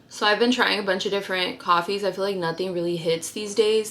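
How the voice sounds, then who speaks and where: Noticeable background noise sits behind a woman speaking at medium pitch. Her intonation stays fairly even. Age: 20s. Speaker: lifestyle vlogger. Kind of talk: casual vlog talk. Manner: trips over words.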